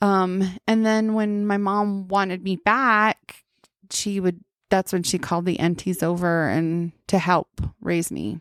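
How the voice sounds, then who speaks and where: A woman speaks at a fairly slow pace with fairly even intonation and a medium pitch, recorded very cleanly against a silent background. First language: Navajo. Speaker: podcast guest. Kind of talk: casual chat.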